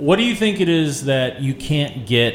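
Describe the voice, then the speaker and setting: Over music in the background, a man speaks fairly slowly with lively intonation. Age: 30s. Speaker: radio host and managing editor. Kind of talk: casual chat. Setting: studio. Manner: loud at odd intervals.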